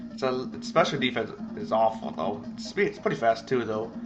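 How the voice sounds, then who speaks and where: Over background music, a man speaks at a moderate pace with very wide swings in pitch. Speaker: video game commentator. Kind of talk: let's play game commentary. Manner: halting, stuttering.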